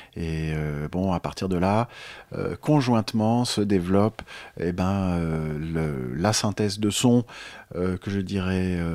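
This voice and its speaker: A man speaks at a very deep, low pitch. He talks very slowly, with ordinary pitch variation. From France. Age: 50s. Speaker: jazz pianist and author. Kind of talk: interview.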